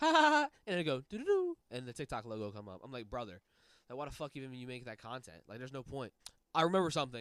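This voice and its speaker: The man's fairly high-pitched voice comes through in a dry, close sound with no echo, on a very clean recording with a silent background. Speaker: YouTuber. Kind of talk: casual rant to camera. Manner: animated.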